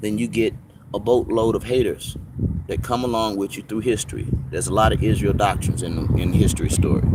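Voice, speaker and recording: A man talks at a fairly quick pace. His pitch varies in an ordinary way, and background noise is noticeable. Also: medium pitch for a man. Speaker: livestream host answering viewer questions. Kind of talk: live Q and A stream. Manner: loud; animated.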